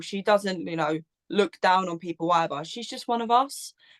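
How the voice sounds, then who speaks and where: Recorded dry and close with no echo, a woman with an Essex accent speaks at a medium pitch with ordinary pitch variation. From southern England, Essex. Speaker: Eurovision content creator, podcaster. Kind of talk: casual chat.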